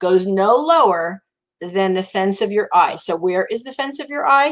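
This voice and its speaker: A woman with a New Jersey accent, medium in pitch, at a moderate pace with lively intonation. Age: 60s. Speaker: makeup consultant. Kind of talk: makeup tutorial livestream. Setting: live stream. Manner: casual, chatty.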